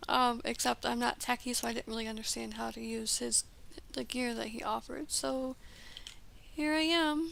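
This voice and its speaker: A woman talks with long, frequent pauses. Noticeable background noise runs under her voice. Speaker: gaming streamer. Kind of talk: casual live-stream chat while building. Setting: live stream. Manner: hesitant, many fillers.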